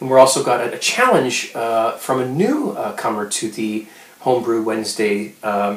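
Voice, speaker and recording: Noticeable background noise runs under this recording. A man speaks at a fairly slow pace. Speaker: home brewing video blogger. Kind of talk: casual video blog. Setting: home kitchen. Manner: quiet, hushed.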